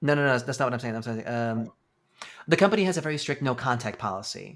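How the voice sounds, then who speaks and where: In an American accent, the speaker races along at a very fast pace with lively intonation. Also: man, medium pitch for a man. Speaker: former live casino game host. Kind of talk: podcast interview. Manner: halting, many fillers.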